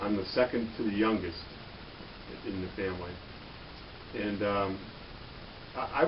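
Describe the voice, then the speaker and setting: A man with an American accent and long, frequent pauses, amid audible room echo and noticeable background noise. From Michigan, Detroit area. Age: 50s. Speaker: police officer. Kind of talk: interview. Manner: halting, many fillers.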